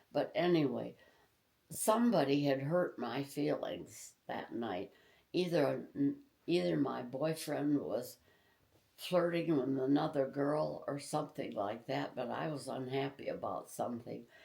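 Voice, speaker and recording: At a fairly slow pace, a woman talks in a Midwestern American accent. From Tecumseh, Michigan. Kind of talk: interview answer.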